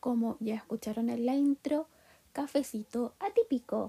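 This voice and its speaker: On a dry, close recording with no echo, a woman speaks in a high pitch with a dark, mellow tone and fairly even intonation. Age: 20s. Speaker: podcast host. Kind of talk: casual monologue. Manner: hesitant, frequent fillers.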